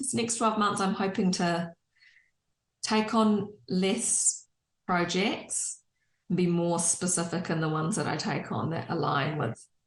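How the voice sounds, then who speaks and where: A woman speaks at a fairly slow pace with lively intonation and a medium pitch. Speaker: interior designer. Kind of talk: casual chat. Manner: loud.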